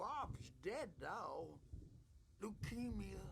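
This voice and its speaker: Over clear background noise, a man speaks in a put-on character voice. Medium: video game. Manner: drifting, weary.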